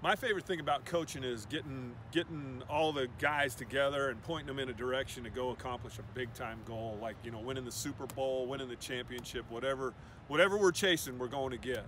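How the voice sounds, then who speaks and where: Light background noise sits under a man speaking at a very fast pace. There is no echo, and the sound is dry. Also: medium pitch for a man, ordinary pitch variation. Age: 50s. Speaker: football coach. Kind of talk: audition video. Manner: animated. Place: open country. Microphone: phone near.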